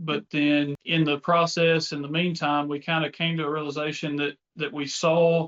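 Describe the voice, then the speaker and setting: In a Mississippi accent, a man with a fairly high pitch speaks in a monotone, flat intonation at a moderate pace. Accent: Southern US (Mississippi). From US South, North Mississippi. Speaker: tech company co-founder. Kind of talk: casual business chat.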